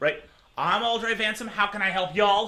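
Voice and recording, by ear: In a put-on character voice, a man speaks raspy and high-pitched at a moderate pace, his voice raised and projected.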